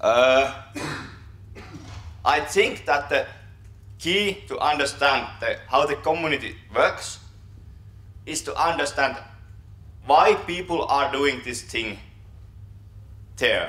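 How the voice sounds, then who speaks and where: With long, frequent pauses and audible room echo, a man with a Finnish accent speaks at a very slow pace. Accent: Finnish accent, self-described poor English. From Finland. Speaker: software developer, conference speaker. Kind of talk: conference talk. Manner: halting, many fillers and repetitions.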